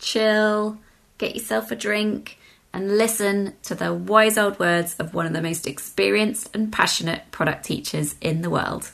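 A woman with a British accent, medium in pitch, bright and sharp in tone, at a fairly slow pace with ordinary pitch variation. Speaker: podcast host. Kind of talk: interview.

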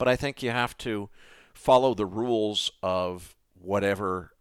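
On a very clean recording with a silent background, the pitch rises and falls in an ordinary way. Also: man. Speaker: software entrepreneur and finance podcast host. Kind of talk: interview conversation.

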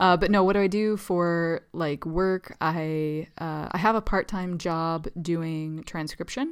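On a very clean recording with a silent background, a woman with an unremarkable speaking voice talks fairly slowly at a fairly low pitch with fairly even intonation. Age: 30s. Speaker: writer and podcast co-host. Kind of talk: casual chat.

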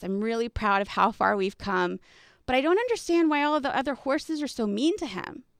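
Someone with an American accent and an unremarkable speaking voice talks at a fairly quick pace with lively intonation, on a very clean recording with a silent background and a dry, close sound with no echo. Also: woman. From Texas. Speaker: podcast host and coach. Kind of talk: personal storytelling monologue.

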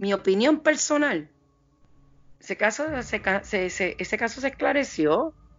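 A woman speaks at a moderate pace in a fairly high pitch, with very wide pitch swings, vocal fry, and long, frequent pauses. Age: 50s. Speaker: forensic investigator. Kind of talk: interview. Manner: halting, many fillers.

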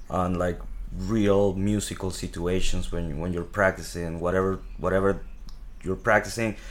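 Audible room echo surrounds a man whose very deep, low voice carries a Spanish accent and a monotone, flat intonation. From Venezuela. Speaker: jazz drummer. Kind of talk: casual chat. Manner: halting.

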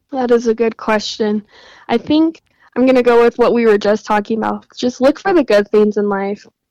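A woman with a Western US accent speaks at a fairly high pitch in a dark, mellow tone. The sound is dry and close, with no echo. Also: ordinary pitch variation, moderate pace. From Utah. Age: 20s. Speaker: guest sharing personal story. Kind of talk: interview.

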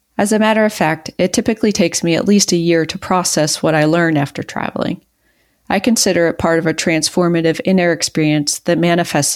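A woman's very fast speech at a fairly low pitch, with ordinary pitch variation and very even loudness, in a very clean recording with a silent background. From rural US, Mason-Dixon line near West Virginia. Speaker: woodworker and podcast co-host. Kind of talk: reading aloud own essay.

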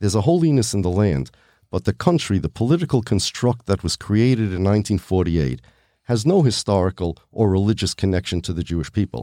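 A man's fairly low, dark and mellow voice at a very fast pace, with a dry, close sound with no echo on a very clean recording with a silent background. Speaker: podcast host and rabbi. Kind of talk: interview discussion.

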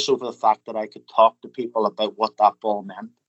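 He speaks in a Northern Irish accent. His pace is fairly quick. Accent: Northern Irish (Belfast). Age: 40s. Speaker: funeral director. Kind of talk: interview. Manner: halting, many fillers and repetitions.

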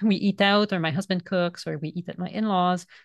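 A woman talks at a fairly quick pace with a French Canadian accent. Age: 40s. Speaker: author and vegan food educator. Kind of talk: casual interview conversation.

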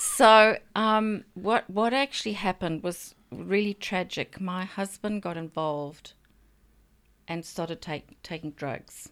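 In a very clean recording with a silent background, a woman speaks at a very slow pace and medium pitch with ordinary pitch variation. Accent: South African. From Zambia. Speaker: writer. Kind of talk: casual interview chat.

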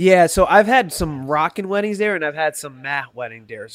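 An unremarkable speaking voice moves at a moderate pace with lively intonation and a dry, close sound with no echo. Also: man. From US, Spanish-speaking immigrant family. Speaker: wedding DJ. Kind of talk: casual interview chat. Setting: remote video call. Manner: relaxed, joking, easygoing.

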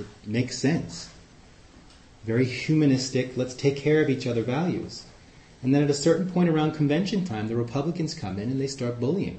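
Fairly quick and fairly high-pitched, a man with an American accent talks in a normal speaking voice with ordinary pitch variation. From New York City, Queens. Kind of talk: talk to a group with discussion. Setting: live in-person group meeting.

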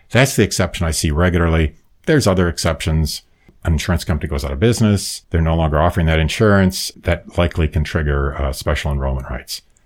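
The speech comes at a very fast pace with vocal fry. Pitch variation is ordinary. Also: man, very deep, low pitch for a man. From US Midwest. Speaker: retired lawyer and Medicare expert. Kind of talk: interview explaining Medicare.

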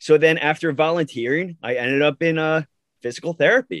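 A man with an American accent has an unremarkable speaking voice and a fairly high pitch. He talks at a moderate pace with a dry, close sound with no echo and a quiet background. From Long Island, New York. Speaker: physical therapist, podcast co-host. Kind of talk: casual chat.

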